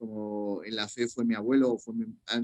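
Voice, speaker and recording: Medium in pitch, a man's voice comes through. The sound is dry and close with no echo. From Spain, Madrid. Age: 40s. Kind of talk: interview. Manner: halting, repeats words.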